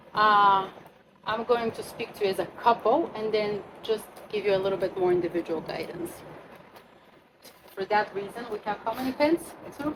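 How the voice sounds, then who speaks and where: Noticeable background noise sits behind a woman's fairly high voice. She keeps a moderate pace with ordinary pitch variation and long, frequent pauses. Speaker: astrologer leading a retreat workshop. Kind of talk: workshop talk to a group.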